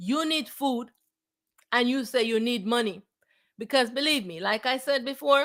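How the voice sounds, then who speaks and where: The recording is very clean, with a silent background. Speech runs at a moderate pace with ordinary pitch variation and long, frequent pauses. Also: woman, high pitch for a woman. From Jamaica. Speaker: spiritual teacher. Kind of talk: spiritual talk. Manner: halting, repeats words.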